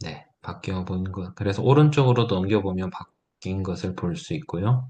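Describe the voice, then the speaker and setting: Against a quiet background, a man speaks at a moderate pace with lively intonation, his fairly low voice dark, mellow and somewhat breathy. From Gyeongsang province, South Korea (Gyeongju). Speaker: teacher / edtech seminar instructor. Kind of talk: tutorial.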